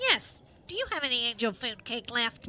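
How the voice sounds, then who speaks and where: Someone performs a put-on character voice at a moderate pace over clear background noise. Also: woman, high pitch for a woman. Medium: audio drama. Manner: flighty, keeps correcting herself.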